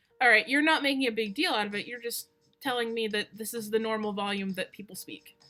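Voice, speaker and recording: A woman at a very fast pace, her loudness swinging widely, with music in the background. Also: fairly high pitch for a woman, ordinary pitch variation. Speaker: streamer. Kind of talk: casual chat.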